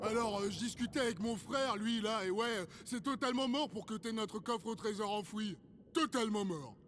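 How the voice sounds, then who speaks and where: A cartoonish character voice, fairly high in pitch, over clear background noise. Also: moderate pace. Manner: slangy, casual.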